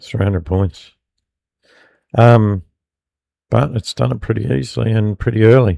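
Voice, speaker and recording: This man has a fairly low voice and an Australian accent, with lively intonation at a moderate pace. Long pauses come often. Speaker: futures trader streamer. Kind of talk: live trading commentary. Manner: casual, hesitant with many fillers.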